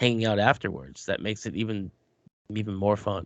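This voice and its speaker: A man speaks at a very fast pace with an American accent. The background is quiet. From New York. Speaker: podcast co-host. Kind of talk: casual chat.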